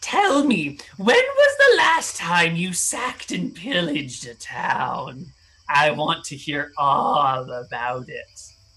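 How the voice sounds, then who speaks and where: Using a put-on character voice with a sinister tone, a man speaks very slowly at a high pitch. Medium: actual play. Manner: syrupy, hospitable with a sinister edge.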